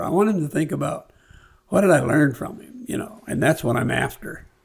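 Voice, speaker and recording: With an American accent, a man speaks in a somewhat breathy, fairly high voice with ordinary pitch variation. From California. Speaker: former mayor and businessman. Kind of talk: podcast interview.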